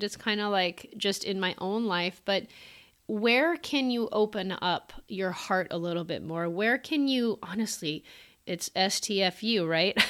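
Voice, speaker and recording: In a very clean recording with a silent background, a woman of medium pitch speaks at a fairly slow pace with lively intonation. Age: 40s. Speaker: podcast host. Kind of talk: casual monologue. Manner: halting, many fillers.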